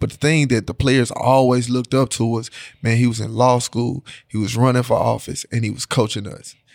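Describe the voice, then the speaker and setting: In a Memphis accent, a medium-pitched man speaks fairly quickly in a flat monotone, on a very clean recording with a silent background. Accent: Southern US (Memphis). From Memphis, Tennessee. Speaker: high school football head coach. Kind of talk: casual interview.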